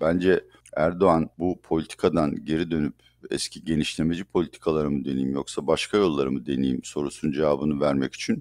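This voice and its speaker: A man talks at a fairly quick pace in a very deep, low pitch. The sound is dry and close, with no echo. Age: 60s. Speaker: economist. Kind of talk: interview.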